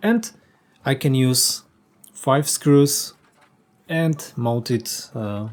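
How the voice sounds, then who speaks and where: Here a man with a Polish accent talks at a very slow pace. His voice sits at medium pitch with ordinary pitch variation. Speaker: woodworker. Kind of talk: workshop tutorial. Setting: workshop. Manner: halting, many fillers.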